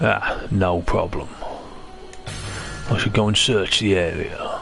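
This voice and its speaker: A man speaks in a put-on character voice at a fairly slow pace. Background noise is clearly audible. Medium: game stream. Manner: theatrical, lots of "Ah".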